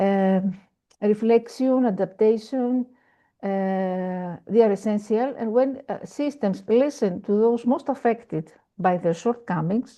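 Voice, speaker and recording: A woman with a Greek accent, fairly high pitch, ordinary pitch variation and a fairly slow pace. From Greece. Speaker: education panelist. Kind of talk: panel presentation. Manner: halting.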